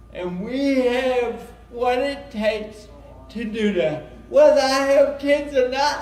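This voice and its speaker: Loud and very slow, the voice shows ordinary pitch variation, with audible room echo and noticeable background noise. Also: man. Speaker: self-advocate speaker. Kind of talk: conference presentation.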